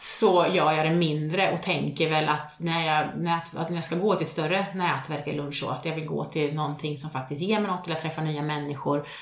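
With hardly any pauses, a woman speaks at a very deep, low pitch and fairly even intonation, amid audible room echo and noticeable background noise. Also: moderate pace. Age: 40s. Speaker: podcast co-host. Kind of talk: casual chat.

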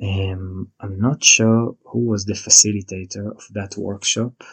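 A man speaks at a fairly low pitch in a flat monotone, somewhat breathy. The sound is dry and close with no echo, over a quiet background. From Israel. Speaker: podcast host, yoga and tantra teacher. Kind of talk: personal storytelling monologue.

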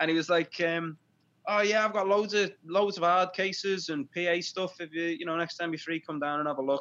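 Pitched high, a man talks at a fairly quick pace with fairly even intonation. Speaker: podcast host, band member. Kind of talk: casual chat.

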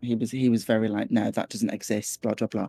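Speaking at a fairly quick pace in a Scouse accent, a man comes through on a very clean recording with a silent background and a dry, close sound with no echo. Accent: Scouse (Liverpool English). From Liverpool, northwest England. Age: 20s. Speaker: psychologist. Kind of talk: personal storytelling interview.

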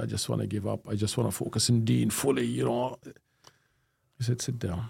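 A man's dark, mellow voice with vocal fry, very wide pitch swings and a fairly quick pace. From Jordan. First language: Arabic. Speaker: professor of Islamic studies. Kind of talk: interview.

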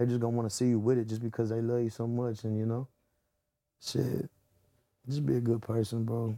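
A man with an American accent, medium-pitched and dark, mellow in tone, at a fairly quick pace with long, frequent pauses and monotone, flat intonation. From Texas, south of Houston (288 South). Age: 20s. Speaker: rapper. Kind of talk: casual interview chat.

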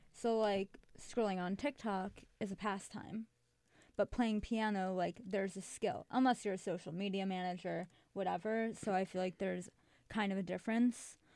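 A woman speaks with an American accent at a moderate pace. She has an ordinary speaking voice. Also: medium pitch for a woman. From Chicago. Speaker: student guest. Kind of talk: casual chat. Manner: laughs often, upbeat.

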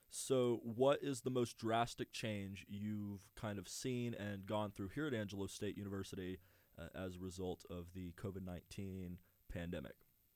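A man with an American accent uses a plain, everyday voice at a fairly low pitch and moderate pace, with ordinary pitch variation, on a very clean recording with a silent background. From US, suburban Houston, Texas. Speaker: student radio host. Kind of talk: casual interview. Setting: studio.

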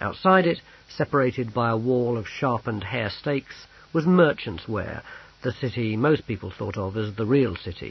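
The passage is read aloud plainly. Lively intonation colors the delivery.

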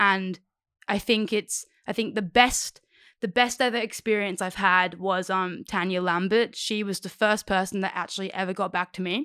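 Speaking at a moderate pace, a woman has a medium pitch, a bright, sharp tone and an Australian accent. The sound is dry and close with no echo, on a very clean recording with a silent background. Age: 20s. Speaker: aspiring cinematographer. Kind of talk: casual chat. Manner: animated.

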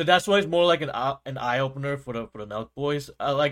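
This man talks at a fairly quick pace with a fairly high pitch and ordinary pitch variation, in an ordinary speaking voice. The recording is very clean, with a silent background. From US. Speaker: podcast co-host and gaming youtuber. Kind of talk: promo plug; casual chat.

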